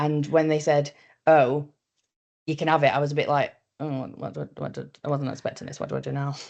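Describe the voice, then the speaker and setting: A woman's very deep, low voice with vocal fry, fairly even intonation and big swings in loudness. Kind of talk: panel discussion. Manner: fast; direct.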